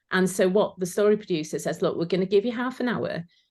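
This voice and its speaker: A woman with a Welsh accent against a quiet background. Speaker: former sewing competition finalist. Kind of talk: casual chat.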